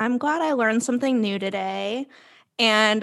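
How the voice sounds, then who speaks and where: An unremarkable speaking voice with an American accent, fairly slow pace, ordinary pitch variation and a quiet background. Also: woman. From South Florida. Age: 20s. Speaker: podcast co-host. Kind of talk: casual chat. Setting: video call.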